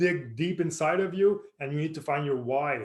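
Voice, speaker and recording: A somewhat breathy, fairly high male voice at a moderate pace with ordinary pitch variation. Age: 40s. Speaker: personal trainer. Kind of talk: tutorial. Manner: halting.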